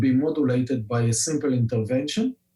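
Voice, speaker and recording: The speaker talks at a fairly quick pace with an Israeli accent. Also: man. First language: Hebrew. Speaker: scientist and company founder. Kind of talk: podcast interview. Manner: many filler words, hesitant.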